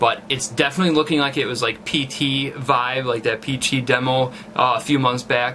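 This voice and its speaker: A man's medium-pitched voice in a monotone, flat intonation over noticeable background noise. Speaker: gaming YouTuber. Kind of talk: casual commentary. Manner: halting, many fillers.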